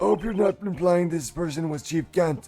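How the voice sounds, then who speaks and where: Faint music plays in the background as a man puts on a character voice at a high pitch. He keeps a moderate pace. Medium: game stream.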